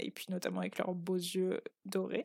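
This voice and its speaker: At a moderate pace and medium pitch, a woman talks in a very clean recording with a silent background. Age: 20s. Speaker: teacher. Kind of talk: casual interview. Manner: hesitant with fillers.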